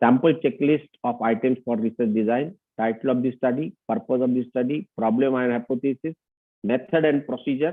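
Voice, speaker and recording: Moderately paced and medium in pitch, a man speaks in an unremarkable speaking voice. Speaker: lecturer. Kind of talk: lecture.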